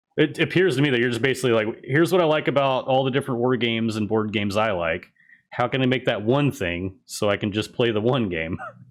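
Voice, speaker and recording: A man mumbles at a very fast pace with lively intonation. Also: medium pitch for a man. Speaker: tabletop gaming channel host. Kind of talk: interview. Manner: mumbling.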